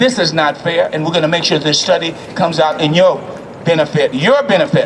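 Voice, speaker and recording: A man with an American accent, high-pitched and animated, at a fairly quick pace over noticeable background noise. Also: lively intonation. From US South. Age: 70s. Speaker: city council member. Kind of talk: rally speech.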